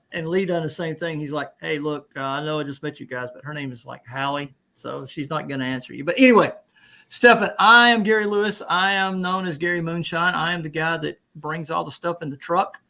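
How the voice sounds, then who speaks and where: A man in an Alabama accent, high-pitched and fairly quick, with a bright, sharp tone and big swings in loudness. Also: ordinary pitch variation. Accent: Southern US (Alabama). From Alabama, US South. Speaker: veteran, livestream host. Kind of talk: casual chat.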